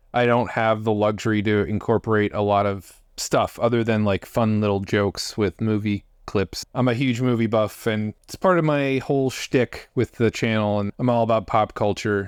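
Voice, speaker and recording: At a moderate pace and with hardly any pauses, a man talks in a fairly low pitch with fairly even intonation, the sound dry and close with no echo over a quiet background. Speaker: YouTuber reviewing card game spoilers. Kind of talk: casual solo commentary. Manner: monotone.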